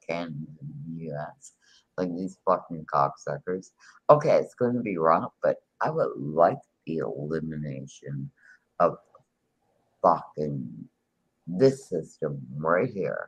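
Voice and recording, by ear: Speaking at a fairly slow pace, a man leaves long, frequent pauses and lets his loudness swing widely.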